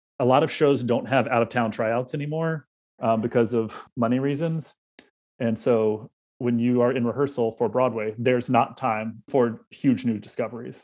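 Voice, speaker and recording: With a plain, everyday voice, a man speaks at a fairly quick pace and a medium pitch, keeping a fairly even intonation. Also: quiet background. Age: 30s. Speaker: theater prop supervisor. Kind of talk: casual interview.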